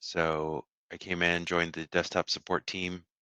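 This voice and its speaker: A man with an American accent and a very deep, low pitch has a bright, sharp tone and monotone, flat intonation, speaking at a fairly slow pace in a dry, close sound with no echo and a quiet background. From Houston, Texas. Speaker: software engineer presenting at user group. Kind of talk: technical talk. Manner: halting, many fillers.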